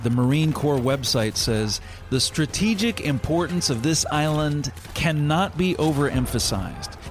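Solemn, dramatic tone from a man with a fairly high pitch, lively intonation and a fairly slow pace, over noticeable background noise. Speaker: magazine editor and radio host. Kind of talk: scripted narration of a historical story for a radio program. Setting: studio. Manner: measured, solemn storytelling that builds tension and grows dramatic in the battle scenes.

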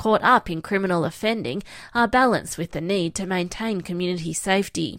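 On a very clean recording with a silent background, a woman with an ordinary speaking voice talks at a fairly quick pace with ordinary pitch variation. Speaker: news reporter. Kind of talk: news report.

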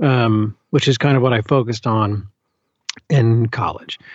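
The voice carries an American accent and fairly even intonation. Its sound is dry and close, with no echo. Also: man. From US South, Birmingham, Alabama. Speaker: audiobook narrator. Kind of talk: casual interview.

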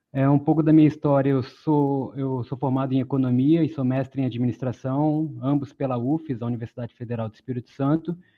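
A man talks in a plain, everyday voice. His pitch is medium and his intonation fairly even. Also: fairly quick pace. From Brazil, born in Pará, raised in several cities. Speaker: former city council candidate, economist. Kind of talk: webinar panel discussion.

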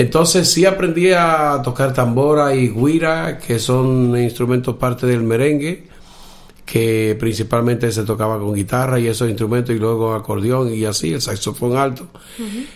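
At a moderate pace and medium pitch, a man speaks with ordinary pitch variation in an unremarkable speaking voice. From Dominican Republic, Cibao valley (north). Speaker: blind musician and orchestra conductor. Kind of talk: interview.

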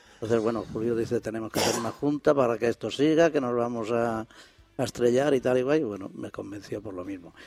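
Over noticeable background noise, a man with a medium pitch and ordinary pitch variation talks at a fairly quick pace. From northern Extremadura, Sierra de Gata. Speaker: board member of a regional association. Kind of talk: radio interview.

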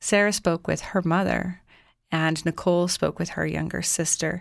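Speech moves at a moderate pace on a very clean recording with a silent background. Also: woman. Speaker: radio host. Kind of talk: radio show host sign-off and introduction. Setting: campus radio studio.

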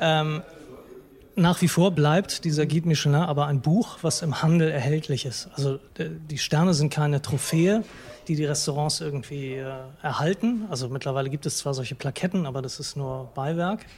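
Noticeable background noise is present throughout. Over it, a man keeps a moderate pace with ordinary pitch variation. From Hamburg, northern Germany. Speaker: food blogger. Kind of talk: interview. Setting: restaurant. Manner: hesitant, many fillers.

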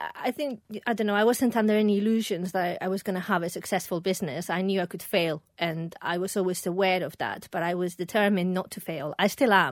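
A woman talks at a very fast pace with hardly any pauses, at medium pitch and with ordinary pitch variation. The recording is very clean, with a silent background. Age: 40s. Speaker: perfumer and small business founder. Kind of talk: casual interview.

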